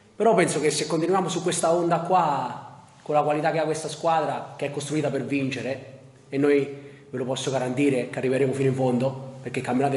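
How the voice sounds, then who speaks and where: Over audible room echo, a man talks at a very fast pace with fairly even intonation. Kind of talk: press conference answer. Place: hall.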